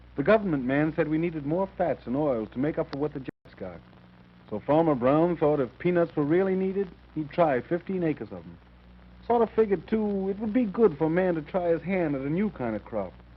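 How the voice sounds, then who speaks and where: A man speaks at a fairly quick pace in an ordinary speaking voice, fairly high in pitch with lively intonation. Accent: American. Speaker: film narrator. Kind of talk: documentary narration.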